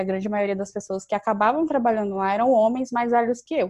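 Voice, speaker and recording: Here is a woman with a normal speaking voice and a medium pitch. Her pitch varies in an ordinary way, and the background is quiet. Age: 20s. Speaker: university student and youth organization leader. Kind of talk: interview.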